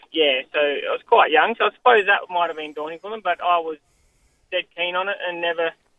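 Speaking at a fairly quick pace, a man with an Australian accent has a high-pitched voice. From Western Australia, Goldfields (Coolgardie). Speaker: jockey. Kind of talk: interview.

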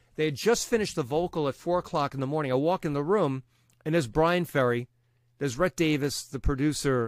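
A man with a Long Island accent at a very fast pace, in a dry, close sound with no echo. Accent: Long Island New York. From Brooklyn, New York. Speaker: radio DJ. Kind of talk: casual interview conversation. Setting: home studio, remote recording.

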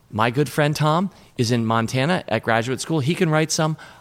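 The intonation is lively throughout. He is a man speaking with an American accent. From Washington, D.C. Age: 50s. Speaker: investor and company co-founder. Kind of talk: casual interview. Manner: energetic.

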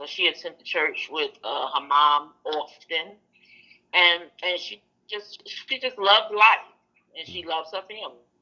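With a Brooklyn accent, a woman of fairly low pitch speaks at a moderate pace in a bright, sharp tone, her intonation lively and her pauses long and frequent. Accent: New York (Brooklyn). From Brooklyn, New York. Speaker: aunt of a missing woman. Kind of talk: interview.

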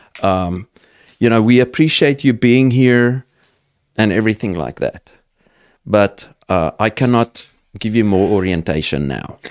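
A man in a South African accent talks at a fairly low pitch with lively intonation and long, frequent pauses, the sound dry and close with no echo. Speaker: entrepreneur and farmer. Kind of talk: casual interview.

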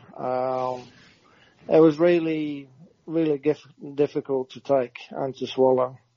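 A man with a Norwegian accent speaks at a very slow pace with long, frequent pauses, his fairly high pitch held in fairly even intonation. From Norway. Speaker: retired footballer. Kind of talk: interview.

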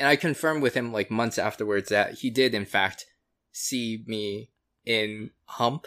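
Bright and sharp in tone, the voice carries an American accent. It moves at a fairly slow pace with ordinary pitch variation. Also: man, medium pitch for a man, very clean recording, silent background. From US, Florida. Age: 30s. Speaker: podcast guest. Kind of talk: casual chat.

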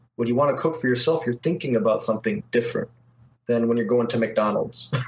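In an American accent, a man talks at a medium pitch, his voice somewhat breathy. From Detroit, US Midwest. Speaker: video game artist. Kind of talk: casual interview chat.

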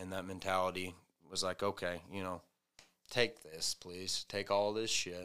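A man's very deep, low voice with an American accent, bright and sharp in tone, monotone and flat, at a moderate pace. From US South, Arkansas. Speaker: recovering addict, softball player. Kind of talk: testimony. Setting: studio.

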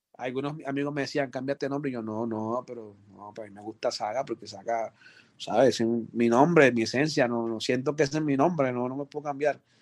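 At a fairly quick pace, a man with a medium pitch speaks with fairly even intonation over a quiet background. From Colombia, Chocó (Pacific coast). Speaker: music producer. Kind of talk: interview.

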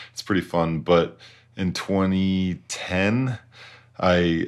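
A man with an American accent speaks with fairly even intonation. The recording is very clean with a silent background. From Utah. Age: 30s. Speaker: professional ski racer. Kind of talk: casual chat.

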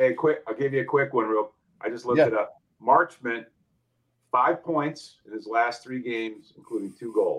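A plain, everyday voice with an American accent shows big swings in loudness. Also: man, medium pitch for a man, ordinary pitch variation, moderate pace. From New Jersey. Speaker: hockey betting guest. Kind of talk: casual chat.

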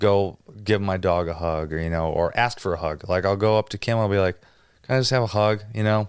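A man with an American accent and a plain, everyday voice talks at a fairly quick pace, fairly low in pitch with ordinary pitch variation. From Wisconsin, near Green Bay. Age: 30s. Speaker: drummer and producer. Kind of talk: casual interview chat. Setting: studio.

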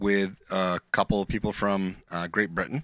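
A man speaks at a moderate pace with a very deep, low pitch. The sound is dry and close with no echo, on a very clean recording with a silent background. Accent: northern New York. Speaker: podcast co-host. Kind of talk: casual chat.

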